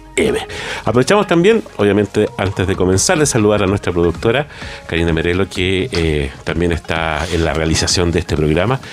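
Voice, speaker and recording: Noticeable background noise accompanies talking that is fairly quick, its pitch moving in an ordinary way. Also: man, very deep, low pitch for a man. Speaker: radio co-host, music professor. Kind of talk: casual radio chat. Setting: radio studio.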